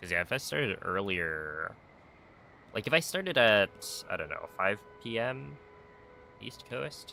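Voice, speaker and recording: A man's fairly low voice with a bright, sharp tone, very wide pitch swings, a fairly slow pace and long, frequent pauses. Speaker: speedrun streamer. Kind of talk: casual live stream chat while gaming.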